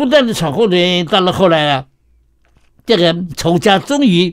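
This man has a high voice that moves in very wide pitch swings. He talks at a fairly slow pace against a quiet background. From Shanghai, moved to Taiwan at 17. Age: 90s. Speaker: retired professor and novelist; interview guest. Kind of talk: radio interview. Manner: halting with many fillers. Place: studio. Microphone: studio mic.

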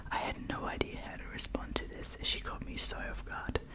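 A woman whispers in a soft-spoken way at a moderate pace. Loud background noise fills the clip. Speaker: ASMR storyteller. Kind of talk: reading stories aloud softly. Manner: soft close-mic whisper. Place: home room. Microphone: studio mic.

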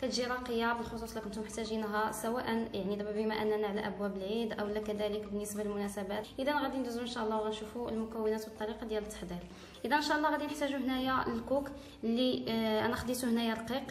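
Audible room echo and light background noise surround the voice. A woman talks at a very fast pace. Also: fairly even intonation. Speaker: home cook channel host. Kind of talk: cooking tutorial. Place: home room. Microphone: phone near.

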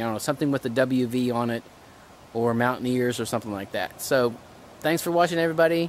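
Very fast male speech with ordinary pitch variation, dry with no echo, over light background noise. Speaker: running vlogger. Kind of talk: casual vlog chat. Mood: grateful, friendly. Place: garden. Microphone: phone near.

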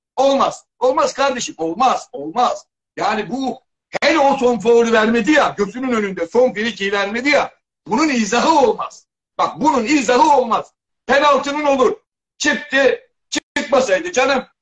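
The speaker's lively intonation carries at a moderate pace against a quiet background. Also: man, extremely high pitch for a man. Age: 60s. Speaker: football pundit. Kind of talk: heated debate. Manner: animated. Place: home room. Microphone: video call.

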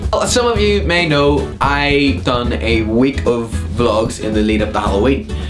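The voice swings very widely in pitch at a fairly slow pace, with music clearly audible in the background. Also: man. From Ireland. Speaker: vlogger. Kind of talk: casual talk to camera. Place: home room. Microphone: webcam.

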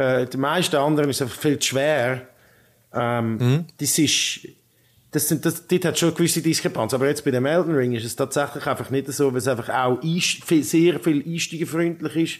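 In a plain, everyday voice, a man speaks at a fairly high pitch and moderate pace with fairly even intonation. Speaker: tech podcast host. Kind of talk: casual chat.

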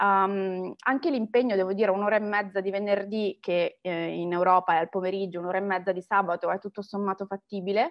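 A woman with fairly even intonation and hardly any pauses, over a quiet background. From Italy. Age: 30s. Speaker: marketing professional and alumna; interviewee. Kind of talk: interview testimony. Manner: hesitant, many fillers. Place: home room. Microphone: webcam.

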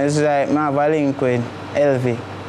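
A man speaks with a Jamaican accent. There is light background noise. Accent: Jamaican Patois. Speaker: dancehall artist. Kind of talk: interview. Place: studio. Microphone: lapel.

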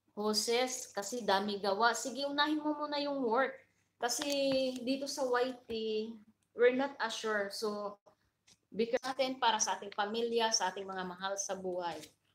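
A woman at a moderate pace with fairly high pitch and ordinary pitch variation. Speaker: livestream vlogger. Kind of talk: casual livestream chat with viewers.

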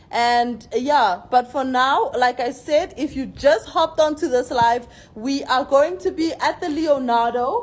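A high-pitched woman at a moderate pace, lively in intonation, her tone animated yet tired. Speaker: forex trading seminar host and trader. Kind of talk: pitchman seminar promo. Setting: social media video. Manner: hyped, animated, repeating urgent calls to action; tired but upbeat, emphatic. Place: hall. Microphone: phone near.

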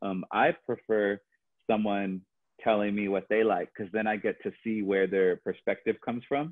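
Against a quiet background, a man with an American accent uses a normal speaking voice, fairly low in pitch, with fairly even intonation at a moderate pace. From Los Angeles, California. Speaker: choreographer; podcast guest. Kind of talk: casual chat. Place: home room. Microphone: earbuds.

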